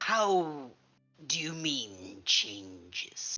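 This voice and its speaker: Putting on a character voice, a man speaks at a fairly high pitch with very wide pitch swings as faint music plays in the background. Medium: actual play. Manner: terse, probing.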